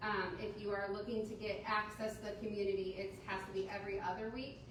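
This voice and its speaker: Amid noticeable background noise and audible room echo, a woman talks at a fairly quick pace and a medium pitch. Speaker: recreational therapy agency panelist. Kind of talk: panel discussion. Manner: loud.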